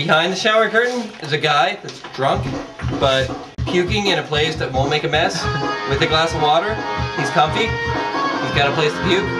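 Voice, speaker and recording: A man speaks at a moderate pace with long, frequent pauses. Clear music plays in the background. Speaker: storyteller. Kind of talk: casual vlog chat. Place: home room. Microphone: phone near.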